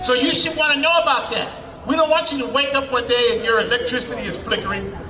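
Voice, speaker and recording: An animated man uses a raised, projected voice at an extremely high pitch, with ordinary pitch variation and a very fast pace. Audible room echo and noticeable background noise are present. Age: 60s. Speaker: protest speaker, activist organizer. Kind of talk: rally speech.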